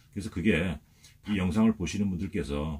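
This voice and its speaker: A man talks at a very deep, low pitch with ordinary pitch variation. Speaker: motorhome vlogger. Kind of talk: video tour. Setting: inside his motorhome. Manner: hesitant, many fillers.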